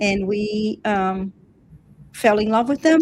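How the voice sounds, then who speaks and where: A woman speaks with a slight Brazilian accent at a medium pitch. Her pace is fairly slow, and her pitch varies in an ordinary way. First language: Portuguese. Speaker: dog breeder, channel host. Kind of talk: live stream talk. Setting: live stream.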